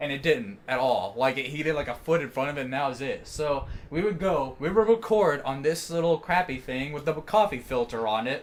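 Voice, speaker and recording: A man at fairly high pitch, fairly quick pace, lively intonation, and hardly any pauses. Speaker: hip hop artist. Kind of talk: casual chat. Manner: animated.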